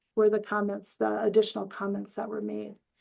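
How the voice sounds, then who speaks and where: The woman's voice has a dark, mellow tone. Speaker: parent support organization staff. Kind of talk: webinar presentation. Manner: fast.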